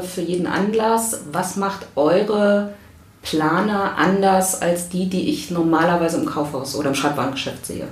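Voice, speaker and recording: Amid audible room echo and noticeable background noise, a woman speaks at a medium pitch with ordinary pitch variation. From Berlin, Germany. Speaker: podcast host, stress management coach. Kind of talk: casual interview. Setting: publisher's office.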